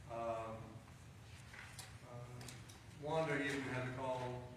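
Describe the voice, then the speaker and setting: There is noticeable background noise and strong room echo as a man speaks. He talks at a fairly slow pace with ordinary pitch variation. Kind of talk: prayer concerns announcements. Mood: earnest, somber. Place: church. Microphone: camera far.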